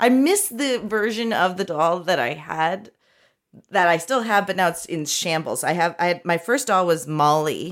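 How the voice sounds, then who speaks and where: Fairly slow, a woman talks in an ordinary speaking voice with a fairly low pitch and ordinary pitch variation. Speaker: podcaster and comedian. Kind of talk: casual comedy chat. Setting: remote call from her office.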